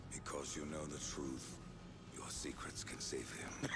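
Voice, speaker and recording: Whispering at a fairly slow pace, a man puts on a cartoonish character voice. Loud background noise fills the recording. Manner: grave, terse, cold.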